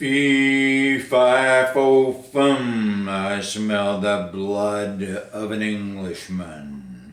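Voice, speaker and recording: A man's bellowing, put-on character voice, fairly low in pitch, at a very slow pace with hardly any pauses and a slight echo. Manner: roaring.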